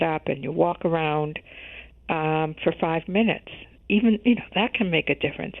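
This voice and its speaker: A woman with an American accent, fairly low in pitch, with ordinary pitch variation, moderate pace and an ordinary speaking voice. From US Midwest, Chicago. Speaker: health journalist. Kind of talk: interview.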